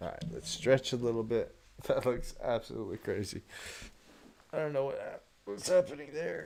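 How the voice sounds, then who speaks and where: Speaking at a moderate pace, a man leaves long, frequent pauses, and his loudness swings widely. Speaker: video editor streamer. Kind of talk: live-streamed editing tutorial. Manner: casual, repetitive muttering.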